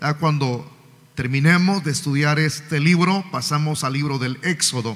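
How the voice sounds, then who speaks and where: Moderately paced male speech, fairly high in pitch, with fairly even intonation. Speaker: pastor. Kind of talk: sermon. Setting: church. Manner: loud. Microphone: sound too quiet from pulpit.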